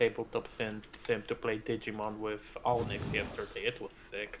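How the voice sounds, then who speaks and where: A man speaks at a moderate pace. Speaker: gaming streamer. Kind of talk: casual chat. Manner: clear careful pronunciation.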